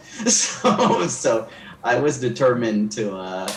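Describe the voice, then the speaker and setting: Amid noticeable background noise and audible room echo, a man speaks at a very slow pace with fairly low pitch and ordinary pitch variation. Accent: American. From Belize City, Belize. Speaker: painter and actor. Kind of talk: interview. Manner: hesitant, many fillers.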